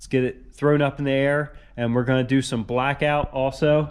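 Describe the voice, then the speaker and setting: A fairly high-pitched man talks at a moderate pace in a monotone, flat delivery. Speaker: car restoration youtuber. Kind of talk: workshop vlog. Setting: garage. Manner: casual, halting with fillers.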